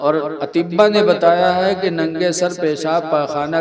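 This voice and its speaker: A man talks at a fairly high pitch. There is noticeable background noise. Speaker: Islamic preacher giving a sermon. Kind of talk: religious sermon with humorous anecdotes. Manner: lively, conversational, humorous.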